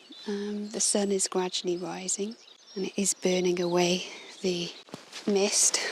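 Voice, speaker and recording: Over noticeable background noise, a woman with an English accent speaks at a fairly slow pace in a gentle, calm tone, medium pitch and monotone, flat intonation. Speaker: illustrator and podcaster. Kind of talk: walking nature narration. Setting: outdoors on a coastal walk.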